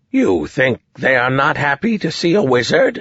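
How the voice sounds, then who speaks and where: A man's put-on character voice with a fairly high pitch. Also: moderate pace. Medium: read story.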